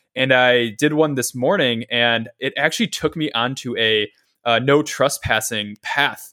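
A man with a medium pitch and ordinary pitch variation uses a normal speaking voice. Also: fairly slow pace. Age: 20s. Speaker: podcast co-host, runner. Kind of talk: casual chat.

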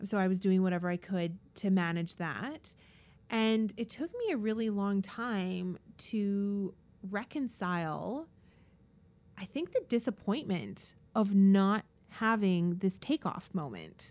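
Speaking at a very slow pace, a woman keeps to a medium pitch. The recording is very clean, with a silent background. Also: ordinary pitch variation. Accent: Canadian. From Canada, northern British Columbia. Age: 40s. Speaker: interior designer. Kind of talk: casual chat.

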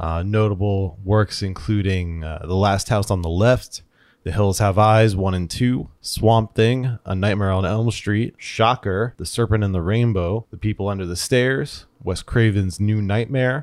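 Delivered at a fairly slow pace with hardly any pauses, a normal speaking voice shows ordinary pitch variation in a very clean recording with a silent background. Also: man, fairly low pitch for a man. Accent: American. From Florida, St. Petersburg. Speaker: podcast co-host, horror fan. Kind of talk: casual chat; reading film credits notes.

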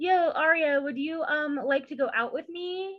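A woman with a Southern US accent, high-pitched and fairly slow. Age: 20s. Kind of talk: casual chat recap.

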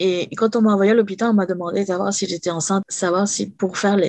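Her medium-pitched voice carries fairly even intonation as this woman speaks. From France. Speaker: domestic violence survivor. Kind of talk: testimony.

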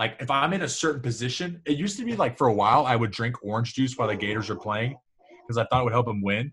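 Amid noticeable background noise, a man with an American accent talks at a very fast pace with lively intonation. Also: medium pitch for a man. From Georgia, US South. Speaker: sports podcast co-host. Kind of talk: casual chat. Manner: animated.

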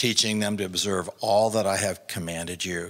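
The man's pitch is low, yet his tone is fairly bright.

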